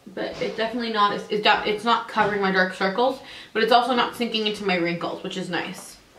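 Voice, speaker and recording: Talking very fast, a woman uses a fairly high pitch and fairly even intonation. Noticeable background noise and audible room echo fill the recording. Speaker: beauty vlogger. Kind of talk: product review tutorial. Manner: casual, conversational.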